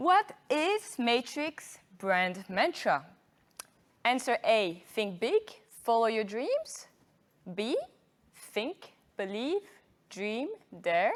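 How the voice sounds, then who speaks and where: A woman with a French accent, fairly high in pitch, very slow with long, frequent pauses and very wide pitch swings. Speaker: marketing manager hosting an awards event. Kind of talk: live event hosting.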